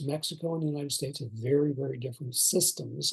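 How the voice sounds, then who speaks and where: In an American accent, a man talks at a fairly quick pace in a fairly high pitch, sounding somewhat breathy. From eastern US. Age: 60s. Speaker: retired national park superintendent. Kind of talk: interview. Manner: halting, many fillers.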